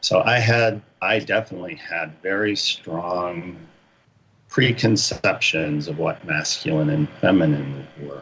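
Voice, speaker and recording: A man's very deep, low voice at a fairly slow pace, with lively intonation and noticeable background noise. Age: 60s. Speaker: army veteran, shamanism student. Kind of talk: interview testimony. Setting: radio show.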